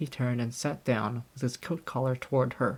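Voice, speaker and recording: A man speaks at a moderate pace in a somewhat breathy voice. The recording is very clean, with a silent background. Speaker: audiobook narrator. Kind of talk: audiobook narration.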